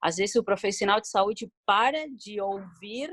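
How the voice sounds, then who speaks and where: Speaking with a non-native accent, a woman keeps a moderate pace and ordinary pitch variation. The sound is dry and close, with no echo. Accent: foreign accent noticeable in Portuguese. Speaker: municipal health council member. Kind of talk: video conference discussion. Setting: video call. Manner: halting.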